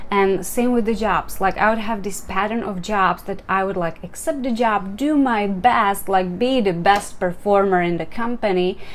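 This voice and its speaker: There is audible room echo around this speaker with a Czech accent. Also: woman, medium pitch for a woman, ordinary pitch variation, moderate pace, hardly any pauses. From Czech Republic. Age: 40s. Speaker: life coach. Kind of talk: motivational talk. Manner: casual, conversational.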